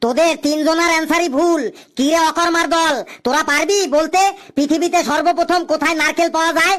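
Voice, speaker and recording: This cartoonish character voice sits at an extremely high pitch and moves along at a moderate pace. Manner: teasing, theatrical.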